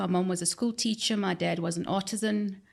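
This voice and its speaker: At a fairly slow pace and with ordinary pitch variation, a speaker with a South African accent comes through in a very clean recording with a silent background. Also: woman. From South Africa, central Johannesburg. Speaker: human resources expert. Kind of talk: podcast interview. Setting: studio.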